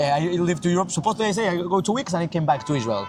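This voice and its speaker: Lively intonation and a Mexican accent come through over music in the background. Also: man. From Mexico. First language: Spanish. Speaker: yeshiva student. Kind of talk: casual interview. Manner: halting.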